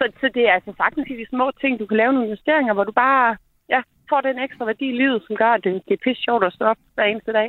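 Her pitch is fairly high and her intonation fairly even. The woman talks at a very fast pace. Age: 40s. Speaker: charity director. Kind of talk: radio interview.

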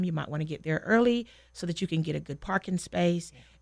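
Speaking in a normal speaking voice with an American accent, a woman keeps a fairly quick pace at a fairly low pitch. The recording is very clean, with a silent background. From North Carolina (small town). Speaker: elementary school teacher. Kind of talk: radio interview.

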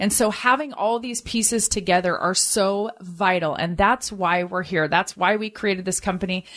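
A woman's normal speaking voice at medium pitch, with ordinary pitch variation, a moderate pace and hardly any pauses. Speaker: financial advisor. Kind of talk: infomercial sales pitch with urgent call to action, repeating the phone number. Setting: radio broadcast, paid program. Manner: persuasive and earnest, pushing listeners to call now.

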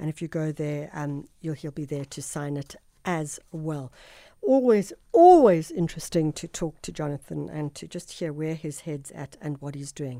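A woman's very deep, low voice with a South African accent and a dark, mellow tone, at a moderate pace with ordinary pitch variation, in a very clean recording with a silent background. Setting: studio.

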